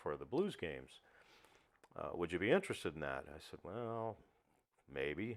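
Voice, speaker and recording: Speaking at a moderate pace, a man uses lively intonation and vocal fry, with big swings in loudness and long, frequent pauses. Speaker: stadium public address announcer for a hockey team, former radio broadcaster. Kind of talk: casual interview answer recounting a personal career story.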